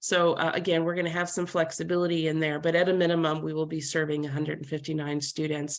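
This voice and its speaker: A woman's very deep, low voice, very fast and monotone with flat intonation and hardly any pauses. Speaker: workforce development leader. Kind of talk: webinar presentation.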